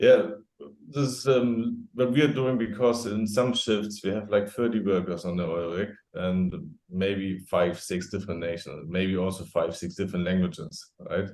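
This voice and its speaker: With a strong German accent, a man speaks at a moderate pace in a fairly low pitch with ordinary pitch variation. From Germany. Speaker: safety expert. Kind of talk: podcast interview. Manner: halting.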